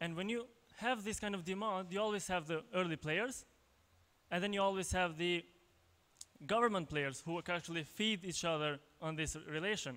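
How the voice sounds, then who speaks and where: A man speaks with an Albanian accent at a high pitch and a moderate pace, his tone bright and sharp. His pitch variation is ordinary, and he takes long, frequent pauses. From Kosovo. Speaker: tech entrepreneur, conference speaker; conference speaker. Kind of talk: conference talk. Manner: halting, many fillers and repetitions. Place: hall. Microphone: handheld.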